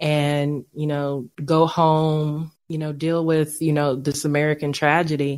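A woman with a very deep, low voice speaks very slowly in a monotone, flat delivery. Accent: East Texas. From East Texas. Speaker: veteran, coach and podcast host. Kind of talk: casual interview chat.

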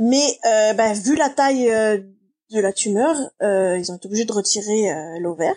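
A woman speaks at a very slow pace in a dark, mellow tone. Her fairly high voice carries lively intonation. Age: 40s. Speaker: production manager in live entertainment. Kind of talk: personal testimony interview. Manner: hesitant, many fillers.

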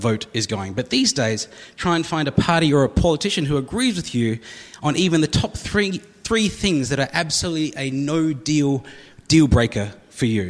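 A man with an Australian accent, fairly high-pitched and fairly quick, with lively intonation over noticeable background noise. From South Australia. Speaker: comedian. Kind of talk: stand-up. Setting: stage with audience.

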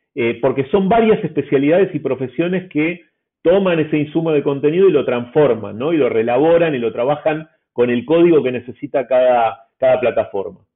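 A man's fairly high, lively voice in an Argentine accent, at a fairly quick pace. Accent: Argentine Spanish (Rioplatense). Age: 40s. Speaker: newspaper editor. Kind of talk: interview. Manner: hesitant fillers.

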